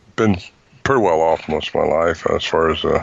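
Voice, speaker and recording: Over noticeable background noise, a man's words come at a fairly quick pace. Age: 70s. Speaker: Bigfoot researcher and author. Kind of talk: interview. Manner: halting, many fillers.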